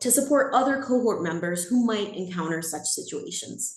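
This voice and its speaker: In a room with audible echo, someone with an American accent talks at a fairly quick pace with lively intonation. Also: woman. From California. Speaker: exchange program staff presenter. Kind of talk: webinar presentation. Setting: video call.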